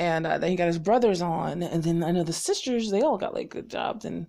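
A woman talks at a moderate pace in an animated tone with an American accent. Her fairly low voice carries vocal fry. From North Carolina, US South. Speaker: vlogger. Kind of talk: casual chat. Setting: home recording.

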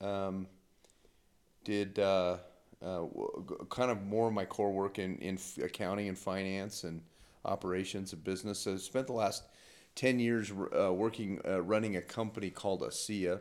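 At a moderate pace, a man with an American accent speaks in a fairly low pitch with fairly even intonation. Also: very clean recording, silent background. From Utah. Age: 40s. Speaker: accountant and businessman. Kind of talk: casual chat. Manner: halting.

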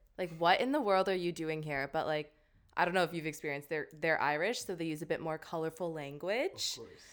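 In a Canadian accent, a woman talks at a fairly quick pace with a fairly low pitch and ordinary pitch variation, a plain, everyday voice. The recording is very clean, with a silent background. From Canada. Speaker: podcast host, graduate student. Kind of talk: casual chat. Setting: bedroom recording.

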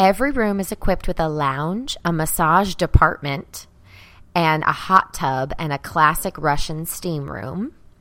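With a Southern accent, a woman speaks at a fairly slow pace in a fairly low pitch and lively intonation, on a very clean recording with a silent background. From US South, Arkansas. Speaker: comedy podcast co-host. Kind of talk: casual chat.

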